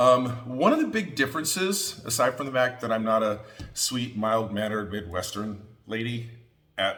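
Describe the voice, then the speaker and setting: A loud, animated tone. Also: man. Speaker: quilting teacher. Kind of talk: tutorial.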